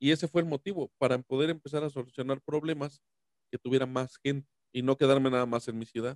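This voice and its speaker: Fairly even intonation marks this speech. The pace is very fast. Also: man, medium pitch for a man, dry, close sound with no echo. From Mexico, San Luis Potosí. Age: 30s. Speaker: YouTuber. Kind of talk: casual interview.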